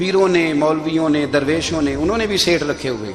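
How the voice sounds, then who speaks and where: Over music in the background, a man talks at a fairly high pitch. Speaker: Islamic preacher. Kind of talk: religious sermon (bayan).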